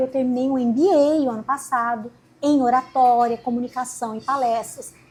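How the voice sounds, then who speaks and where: The speaker is a woman. Her pitch is high. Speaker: law professor and lawyer. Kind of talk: interview.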